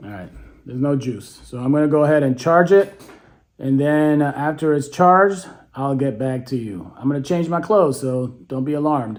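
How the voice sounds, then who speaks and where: A man with a fairly high pitch and ordinary pitch variation keeps a moderate pace. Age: 60s. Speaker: beekeeping youtuber. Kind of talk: casual product unboxing and demo. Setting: at home, later outdoors. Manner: casual, hesitant with many fillers.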